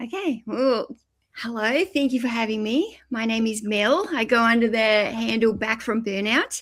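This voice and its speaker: Speaking with an Australian accent at a moderate pace, the voice shows ordinary pitch variation in a very clean recording with a silent background. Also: woman, fairly high pitch for a woman. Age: 50s. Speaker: YouTuber and eBay reseller. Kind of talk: podcast interview.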